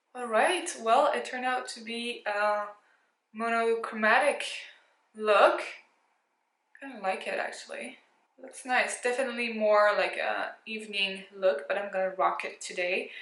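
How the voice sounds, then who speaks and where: The speech moves at a fairly slow pace with long, frequent pauses and ordinary pitch variation, and audible room echo surrounds it. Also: woman, fairly high pitch for a woman, big swings in loudness. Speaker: beauty youtuber. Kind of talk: makeup tutorial. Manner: casual.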